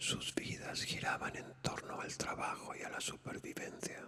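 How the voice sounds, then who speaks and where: The speaker is whispering. Background noise is noticeable. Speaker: ASMR narrator, whispered reader of classic literature. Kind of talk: whispered bedtime story reading. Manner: whispered, soft, relaxing.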